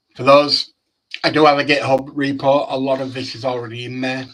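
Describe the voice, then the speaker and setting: In a Yorkshire accent, a man speaks at a moderate pace. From Yorkshire, northern England. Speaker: data dashboard developer. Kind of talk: technical presentation with live demo. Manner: casual, with hesitations.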